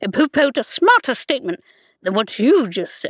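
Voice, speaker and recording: In a cartoonish character voice, a woman speaks with a high pitch and very wide pitch swings. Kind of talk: animation audition. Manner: angry, insulting.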